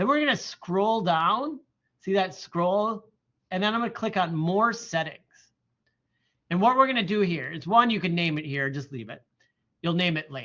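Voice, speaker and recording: Animated in tone, a man with a high pitch speaks with long, frequent pauses. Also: lively intonation, moderate pace. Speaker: college instructor. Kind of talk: lecture. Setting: classroom with online students.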